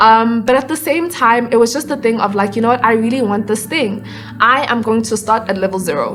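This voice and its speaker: A woman with a fairly high pitch and ordinary pitch variation talks at a fairly quick pace over music in the background. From South Africa, Johannesburg. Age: 20s. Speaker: actor, dancer and musician. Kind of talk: casual interview.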